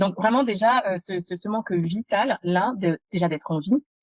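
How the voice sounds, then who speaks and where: At a fairly slow pace, a woman speaks at a medium pitch with ordinary pitch variation, the sound dry and close with no echo. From France (adopted as a child from abroad). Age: 30s. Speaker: entrepreneur, podcast guest. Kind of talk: interview testimony. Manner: halting, many fillers.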